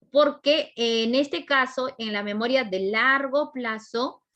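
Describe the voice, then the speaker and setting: Over a quiet background, a woman with a high pitch speaks at a very slow pace with ordinary pitch variation. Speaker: psychology teacher at exam prep academy. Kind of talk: lecture.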